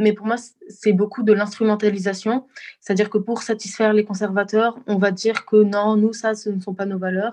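Her fairly high voice stays monotone, with flat intonation throughout. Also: moderate pace. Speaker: student. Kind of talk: panel discussion.

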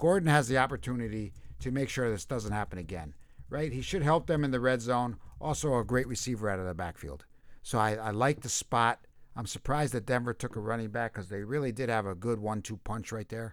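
Against a silent background on a very clean recording, a man with a normal speaking voice and medium pitch talks at a fairly quick pace with lively intonation. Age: 50s. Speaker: fantasy football podcast co-host. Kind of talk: casual chat. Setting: live stream.

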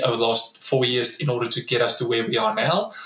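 A man with a South African accent talks at a very fast pace in a medium pitch, with audible room echo and noticeable background noise. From South Africa, Free State (Bloemfontein). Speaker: startup founder and CEO, former pro rugby player. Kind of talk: interview. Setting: remote call. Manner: repeats words often.

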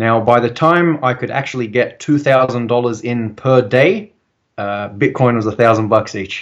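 Against a quiet background, a man with an Australian accent speaks at a fairly slow pace and medium pitch, with ordinary pitch variation. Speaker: civil engineer and bitcoin advocate. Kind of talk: interview.

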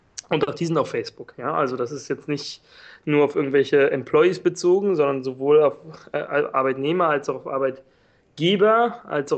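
A man with a plain, everyday voice speaks fairly quickly at a fairly high pitch, his pitch varying in an ordinary way. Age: 20s. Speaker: online entrepreneur. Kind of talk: interview.

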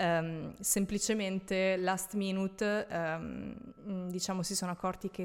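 A woman speaks at a medium pitch in a flat monotone. The recording is very clean, with a silent background. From central/northern Italy (Tuscany, Veneto). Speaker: former flight attendant. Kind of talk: casual interview.

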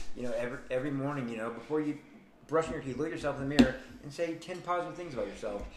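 Noticeable background noise sits behind a man speaking at a very fast pace. His pitch is fairly high, with ordinary variation. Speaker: radio host. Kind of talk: casual radio chat.

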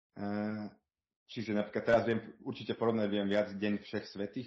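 A fairly low male voice with monotone, flat intonation. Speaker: world traveller. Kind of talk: interview. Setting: remote call. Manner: hesitant, many fillers.

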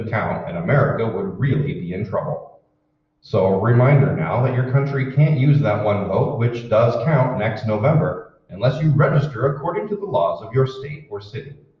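A man with a normal speaking voice, medium in pitch, lively in intonation, at a moderate pace. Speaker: radio announcer. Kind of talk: radio announcer reading intro, ads and public-service spots. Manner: crisp, polished, formal announcer delivery.

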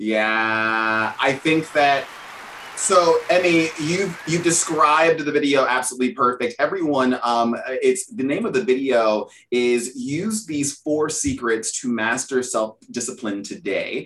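This man has an unremarkable speaking voice, a fairly high pitch, lively intonation, and a fairly slow pace. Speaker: podcast host. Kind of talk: casual interview chat.

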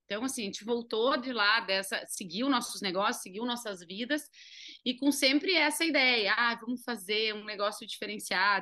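Speaking at a moderate pace with a southern Brazilian accent, a woman with a fairly high pitch has a bright, sharp tone and ordinary pitch variation. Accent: southern Brazilian (gaúcho) Portuguese. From Uruguaiana, interior of Rio Grande do Sul, Brazil (Argentine border). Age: 30s. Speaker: entrepreneur, business co-founder. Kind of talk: interview.

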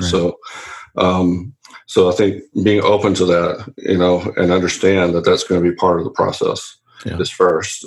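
In a Southern US accent, a man talks at a fairly slow pace. His pitch is very deep and low, and his intonation is monotone and flat. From Louisiana. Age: 40s. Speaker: business coach. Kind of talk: interview.

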